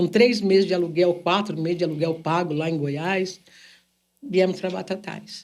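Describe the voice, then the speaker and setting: A woman talks at a fairly slow pace in a plain, everyday voice. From São Paulo state, Brazil. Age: 60s. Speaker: businesswoman and singer. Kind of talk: podcast interview.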